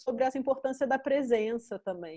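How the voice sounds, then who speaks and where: A woman's voice carries a dark, mellow tone. Her intonation is lively, and the background is quiet. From Brazil, Rio de Janeiro. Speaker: art curator and critic; guest. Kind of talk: interview. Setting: video call. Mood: relaxed, reflective, smiling. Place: home room. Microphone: video call.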